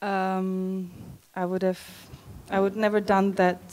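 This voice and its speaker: A woman speaks with a Czech accent at a medium pitch. Her delivery is very slow, with monotone, flat intonation. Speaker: wedding guest, friend of the bride. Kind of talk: wedding speech. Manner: halting.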